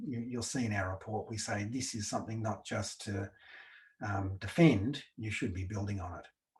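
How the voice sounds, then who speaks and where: A man with an Australian accent, somewhat breathy and fairly low in pitch, at a moderate pace with fairly even intonation. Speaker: researcher presenting a report. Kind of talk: webinar presentation. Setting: online webinar with slides.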